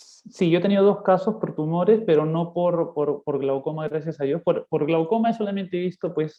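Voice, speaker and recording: At a moderate pace with hardly any pauses, a man talks at a high pitch with ordinary pitch variation. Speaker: ophthalmologist. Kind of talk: lecture; casual chat. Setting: video call.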